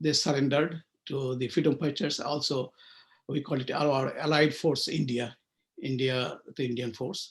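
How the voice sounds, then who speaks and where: In a Bengali accent, a man speaks at a moderate pace with fairly even intonation. His voice is somewhat breathy and fairly high in pitch. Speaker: author. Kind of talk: interview. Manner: hesitant with fillers.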